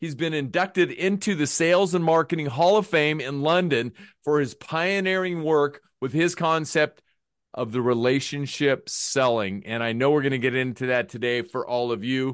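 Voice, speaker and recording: This man, with an unremarkable speaking voice and ordinary pitch movement, talks at a moderate speed against a quiet background. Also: fairly high pitch for a man. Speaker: podcast host. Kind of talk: casual interview chat.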